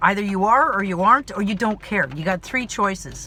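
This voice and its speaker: Loud and animated, the voice races at a very fast pace over noticeable background noise. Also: woman. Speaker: actor and vlogger. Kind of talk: personal vlog monologue.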